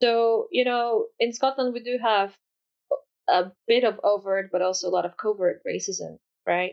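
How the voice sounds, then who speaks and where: Her pitch is fairly high and varies in an ordinary way. The woman keeps a moderate pace. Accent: Polish. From Poland. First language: Polish. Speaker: education researcher. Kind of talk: interview.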